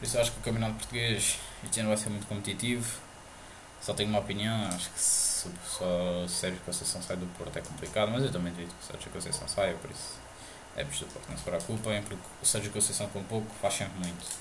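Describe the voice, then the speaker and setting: Over noticeable background noise and audible room echo, a man talks very fast in a fairly low voice. His intonation is fairly even, while his loudness swings widely. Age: 20s. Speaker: podcast host. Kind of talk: casual chat. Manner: halting.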